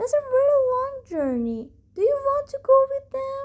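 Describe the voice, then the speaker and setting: In a put-on character voice, this female-sounding speaker goes squeaky at an extremely high pitch for a woman. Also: moderate pace. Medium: read story.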